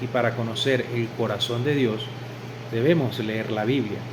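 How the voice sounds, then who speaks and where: There is audible room echo and noticeable background noise. A man talks at a fairly slow pace with a medium pitch. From Venezuela. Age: 40s. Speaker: religious convert. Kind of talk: testimony.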